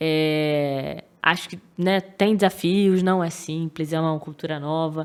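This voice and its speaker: A woman with a Rio de Janeiro accent speaks at a very slow pace with a very deep, low pitch and fairly even intonation. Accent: carioca. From Rio de Janeiro, Brazil. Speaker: data professional, podcast guest. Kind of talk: casual interview chat.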